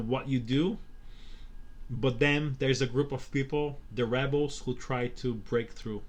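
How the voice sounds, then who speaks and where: With a Portuguese accent, a man speaks fairly slowly and with fairly even intonation. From Brazil. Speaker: crypto video producer and public speaker. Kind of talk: casual interview. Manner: halting, many repetitions and fillers.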